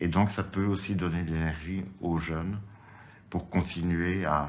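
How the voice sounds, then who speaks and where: A man talks with a very deep, low pitch and a monotone, flat intonation at a fairly slow pace, with audible room echo. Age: 60s. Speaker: activist in a seniors' protest group. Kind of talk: interview testimony.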